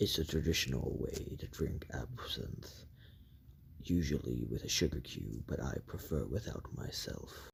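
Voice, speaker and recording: Putting on a character voice, a man speaks at a very deep, low pitch and a moderate pace over clear background noise. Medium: read story. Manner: smooth, self-assured.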